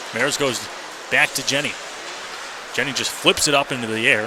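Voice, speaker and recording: Energetic and fairly quick, a man speaks over noticeable background noise. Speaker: radio hockey play-by-play announcer. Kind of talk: live sports radio play-by-play commentary. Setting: live arena broadcast, audio only stream. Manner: fast, energetic, rapid-fire game calling.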